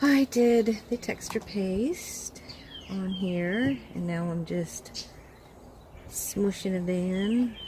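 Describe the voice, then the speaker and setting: Soft-spoken, a woman talks at medium pitch with ordinary pitch variation. Background noise is noticeable. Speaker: crafter / art tutorial creator. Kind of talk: tutorial. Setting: outdoors. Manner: animated.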